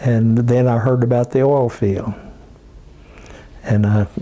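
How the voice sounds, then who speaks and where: A man with an Oklahoma accent at a medium pitch, very slow and fairly even in intonation, against noticeable background noise. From southwestern Oklahoma. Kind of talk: life story interview. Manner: halting.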